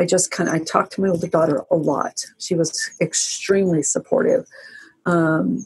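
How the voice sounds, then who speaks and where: Somewhat breathy, a woman speaks at a moderate pace and a fairly low pitch with ordinary pitch variation. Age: 60s. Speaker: abuse survivor sharing her story. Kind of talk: interview testimony. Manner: halting, with frequent restarts.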